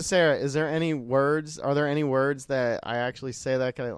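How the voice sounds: In an American accent, the speaker keeps a moderate pace on a very clean recording with a silent background.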